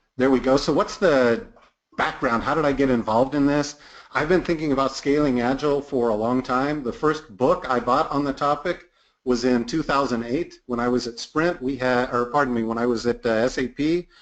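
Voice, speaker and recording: A man with an American accent talks in a plain, everyday voice at a moderate pace and medium pitch, with ordinary pitch variation. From United States. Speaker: product management consultant and trainer. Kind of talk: webinar presentation. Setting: online webinar.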